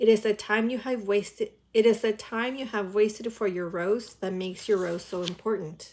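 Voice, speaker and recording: A woman speaks at a moderate pace. Her pitch sits in the medium range. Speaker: reaction video creator. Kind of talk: casual reaction chat, with a passage from a book read aloud. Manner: chatty, filler-heavy and enthusiastic in between. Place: home room. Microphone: earbuds.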